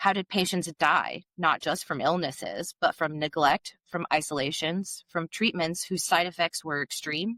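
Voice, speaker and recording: Recorded dry and close with no echo, a woman speaks with a fairly low pitch and a bright, sharp tone. Her intonation stays fairly even. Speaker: podcast host. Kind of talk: reading researched script in casual chat.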